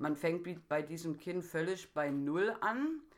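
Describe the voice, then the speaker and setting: A woman's fairly low voice in a very clean recording with a silent background. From Saxony, Germany (Dresden). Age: 30s. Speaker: care worker. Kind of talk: interview.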